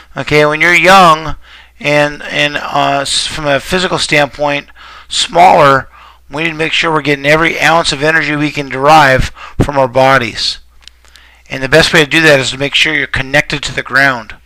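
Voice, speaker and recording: A man's fairly high voice at a moderate pace, fairly even in intonation, against noticeable background noise. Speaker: baseball hitting coach. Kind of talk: video swing evaluation. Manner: casual, conversational.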